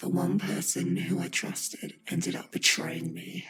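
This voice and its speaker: A man uses a put-on character voice at a very deep, low pitch. He talks at a moderate pace. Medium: video game. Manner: commanding, menacing.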